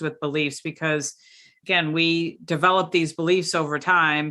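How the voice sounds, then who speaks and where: A woman's bright, sharp voice at a fairly low pitch, at a fairly slow pace over a quiet background. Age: 50s. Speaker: podcast host. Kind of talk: casual chat. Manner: hesitant, many fillers.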